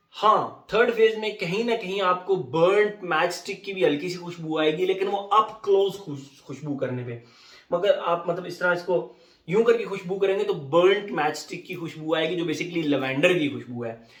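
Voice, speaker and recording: Against noticeable background noise, the voice moves at a fairly slow pace with ordinary pitch variation and big swings in loudness. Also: man, high pitch for a man. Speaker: fragrance reviewer. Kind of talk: product review. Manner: casual, conversational.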